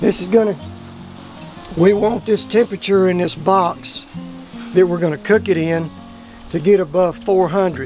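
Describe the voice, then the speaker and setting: The voice carries a strong South Texas accent and ordinary pitch variation. Music plays in the background. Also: man. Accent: thick South Texas. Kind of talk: cooking instructions.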